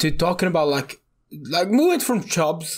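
At a fairly quick clip, this man's speech comes out somewhat breathy. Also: very clean recording, silent background. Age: 20s. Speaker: podcast co-host. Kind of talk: casual chat.

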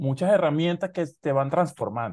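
A man's dark, mellow tone stands out against a quiet background. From Maracaibo, Venezuela. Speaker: podcast host. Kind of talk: casual chat. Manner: halting.

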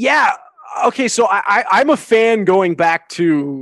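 Speaking fairly slowly in a plain, everyday voice, a man with a Canadian accent shows ordinary pitch variation against a quiet background. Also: dry, close sound with no echo. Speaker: sports and wrestling commentator. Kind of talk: casual chat. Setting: remote call.

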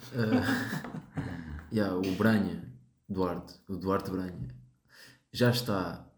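Audible room echo surrounds a man speaking at a fairly low pitch with ordinary pitch variation. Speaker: podcast host. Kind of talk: casual chat.

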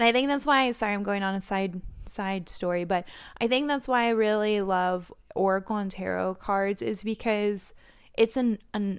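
A woman talks in an unremarkable speaking voice at a medium pitch with ordinary pitch variation. The recording is very clean, with a silent background. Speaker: oracle card reader and skincare podcaster. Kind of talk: solo oracle card reading, casual talk to audience. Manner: casual, chatty, laughs often.

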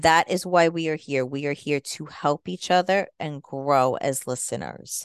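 A woman's very deep, low voice in an American accent, fairly slow with hardly any pauses and ordinary pitch variation, dry and close with no echo over a quiet background. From New Jersey and New York, US. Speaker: radio host and organic marketing strategist. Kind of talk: radio show monologue, self-introduction. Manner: friendly, conversational, promotional.

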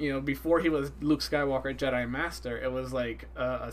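A man talking at a fairly quick pace amid audible room echo. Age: 20s. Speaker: resident fan expert. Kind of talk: casual chat. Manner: halting, many fillers.

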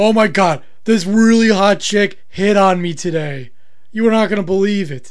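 A man talks at a moderate pace with a high pitch and ordinary pitch variation. Noticeable background noise is present. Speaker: podcast co-host. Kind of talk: casual comedic banter.

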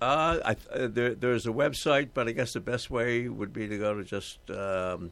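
A man with an American accent at medium pitch and a moderate pace, with ordinary pitch variation. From Boston. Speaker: painter. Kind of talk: casual chat. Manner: halting, many fillers.

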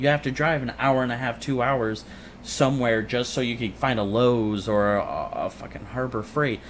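Using an ordinary speaking voice, a man talks with fairly even intonation. He keeps to a medium pitch and a moderate pace. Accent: American. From Illinois. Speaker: podcast guest. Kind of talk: casual chat.

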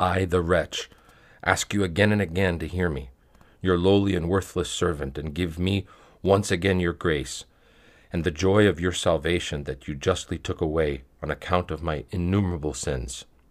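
The recording is very clean, with a silent background. A man speaks at a moderate pace with a very deep, low pitch, vocal fry and fairly even intonation. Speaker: reader of spiritual texts. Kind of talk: reading aloud of a prayer text, fervent supplication. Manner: earnest, devout pleading tone in the prayer passage.

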